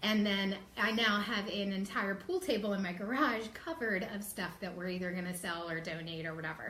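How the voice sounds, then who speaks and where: Audible room echo surrounds a woman's voice. She speaks at a moderate pace with a medium pitch. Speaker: live show host. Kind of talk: casual live stream talk. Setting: Facebook live video. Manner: filler-heavy, many ums.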